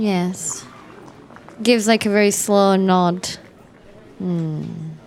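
A woman's medium-pitched voice at a very slow pace, fairly even in intonation, over noticeable background noise. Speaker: podcast host and tabletop roleplay player. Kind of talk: tabletop roleplay, casual chat. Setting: around a table in person.

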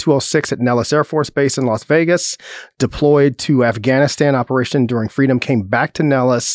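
In an American accent, a man with a plain, everyday voice speaks at a medium pitch and moderate pace with fairly even intonation, the sound dry and close with no echo. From Chicago, south side. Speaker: police chief. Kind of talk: interview.

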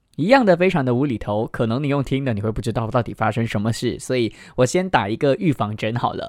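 This man talks at a very fast pace with hardly any pauses. His medium-pitched voice has lively intonation. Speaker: radio host presenting children's picture books. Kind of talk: radio talk reviewing children's books. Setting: studio. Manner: subdued, less lively than usual.

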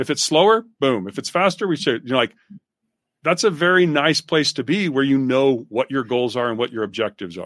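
On a very clean, dry, close recording with a silent background and no echo, a man speaks fairly quickly at a fairly high pitch with very wide pitch swings. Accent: American. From Utah. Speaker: business author and researcher. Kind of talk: casual interview.

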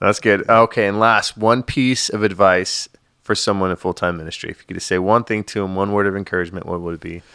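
Speaking very fast with fairly even intonation, a man with a fairly low pitch and a bright, sharp tone is heard in a very clean recording with a silent background and a dry, close sound with no echo. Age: 30s. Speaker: podcast host. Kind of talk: casual interview.

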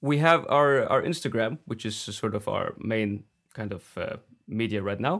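A man with a Faroese accent on a very clean recording with a silent background. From Faroe Islands. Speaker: folk singer. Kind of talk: interview.

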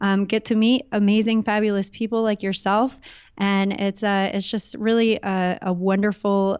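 In a Californian accent, a woman speaks at a fairly slow pace. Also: very even loudness. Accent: Californian American. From Southern California. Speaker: entrepreneur. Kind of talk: casual interview.

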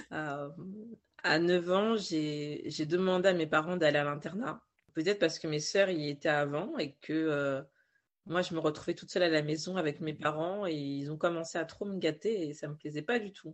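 A woman's very deep, low voice at a moderate pace, with big swings in loudness. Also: ordinary pitch variation. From Paris region, France. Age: 20s. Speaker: novelist and writing coach. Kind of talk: interview. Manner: hesitant, with fillers and repetitions.

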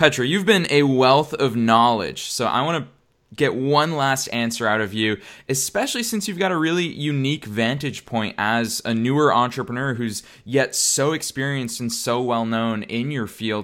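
Upbeat and enthusiastic, a man speaks at a medium pitch with ordinary pitch variation. The recording is very clean, with a silent background. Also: moderate pace. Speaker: podcast host. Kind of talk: casual interview. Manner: upbeat, enthusiastic.

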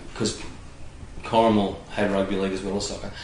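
With an Australian accent, the speaker is heard through noticeable background noise and audible room echo. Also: man. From Australia, Illawarra (New South Wales). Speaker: former footballer and coach. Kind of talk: casual interview. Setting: at his home.

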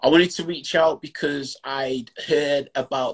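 A man with a strong Yorkshire accent, in a dry, close sound with no echo. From Yorkshire, England. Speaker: online chat show host. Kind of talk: casual interview chat. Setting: video call.

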